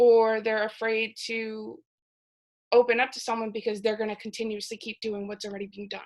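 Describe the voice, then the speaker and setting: A woman talks at a fairly high pitch with monotone, flat intonation and big swings in loudness. The background is quiet. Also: fairly quick pace. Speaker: psychology student presenter. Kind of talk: class presentation.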